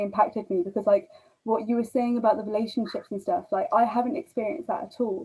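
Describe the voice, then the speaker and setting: Somewhat breathy, a woman with a fairly high pitch talks at a very fast pace. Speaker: guest. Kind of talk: casual chat. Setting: video call.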